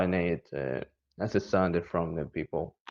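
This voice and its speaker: Speaking at a moderate pace, the voice carries an Indonesian accent. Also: man. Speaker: English learner. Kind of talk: personal testimony. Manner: halting, many fillers.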